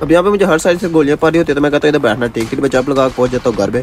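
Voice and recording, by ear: A man's very fast, fairly high-pitched speech with fairly even intonation over faint background noise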